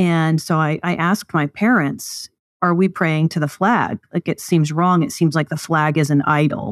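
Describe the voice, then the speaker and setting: A woman with a normal speaking voice talks at a moderate pace in an American accent, her pitch fairly low with ordinary variation. Her loudness stays very even, and the sound is dry and close with no echo against a quiet background. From US South, East Texas. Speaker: political party leader. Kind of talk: interview.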